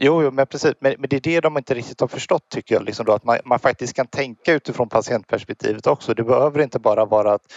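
Speech races along at a very fast pace with hardly any pauses. Pitch variation is ordinary. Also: man, medium pitch for a man. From Sweden, Gothenburg area. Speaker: patient advocate. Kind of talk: interview.

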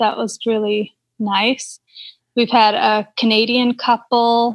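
A somewhat breathy voice with an American accent speaks in a monotone, flat intonation. The recording is very clean with a silent background and a dry, close sound with no echo. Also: woman. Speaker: cycling tourist host. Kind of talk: casual interview.

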